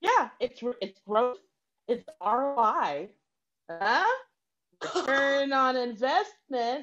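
A woman speaks at a high pitch with very wide pitch swings. She goes at a very slow pace with long, frequent pauses. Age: 40s. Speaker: improv comedian. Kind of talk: improvised comedy scene. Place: home room. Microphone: video call.

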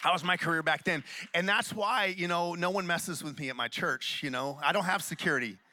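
This man has a high pitch and an animated tone, speaking at a fairly quick pace with ordinary pitch variation. The sound is dry, with no echo. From Oklahoma (Tulsa); Oklahoma. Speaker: pastor. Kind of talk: sermon. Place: church. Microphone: handheld.

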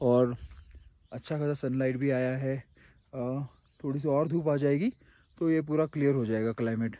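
A man speaks in a dark, mellow tone. His intonation is fairly even. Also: moderate pace, dry sound with no echo. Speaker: travel vlogger. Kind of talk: casual vlog chat. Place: open country. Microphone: phone near.

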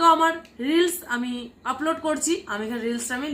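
A woman speaks with ordinary pitch variation. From West Bengal, India (Nadia). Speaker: vlogger. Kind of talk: tutorial. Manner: casual, chatty.

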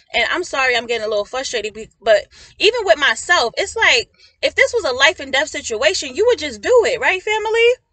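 A woman speaks very fast in a raised, projected, high-pitched voice with a bright, sharp, animated tone. Her pitch swings very widely and her loudness shifts a lot, with a dry, close sound and no echo. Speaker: prophetic minister and counselor. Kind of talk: prophetic message.

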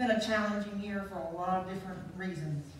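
Over music in the background, a woman speaks at a moderate pace, with audible room echo. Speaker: speaker. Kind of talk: sermon. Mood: gentle, reflective. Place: church. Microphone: handheld.

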